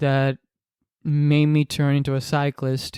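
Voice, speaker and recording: A man with a Spanish accent and a fairly high pitch talks at a fairly slow pace. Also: dry, close sound with no echo. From Dominican Republic. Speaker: podcaster. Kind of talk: casual monologue. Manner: halting, many repetitions and fillers.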